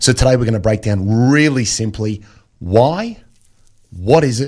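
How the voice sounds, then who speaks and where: Speaking with an Australian accent, a man uses a medium pitch. His pace is fairly slow. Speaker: financial planner. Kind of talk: radio interview.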